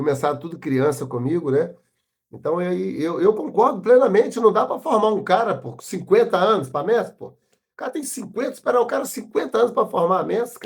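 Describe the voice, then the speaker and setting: A man speaks at a fairly quick pace in a high pitch. His voice shows very wide pitch swings. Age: 60s. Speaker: capoeira master. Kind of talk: interview. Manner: casual, uses slang fillers.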